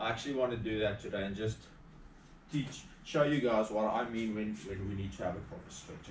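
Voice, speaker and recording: A man talks at a fairly quick pace over light background noise, with audible echo in the room. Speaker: fitness instructor. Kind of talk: tutorial. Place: home room. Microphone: camera far.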